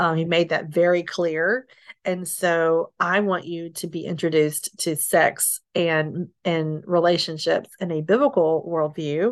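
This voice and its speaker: Against a quiet background, a woman talks in an ordinary speaking voice with fairly low pitch and fairly even intonation, hardly pausing at all. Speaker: single mother sharing her story. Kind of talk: testimony.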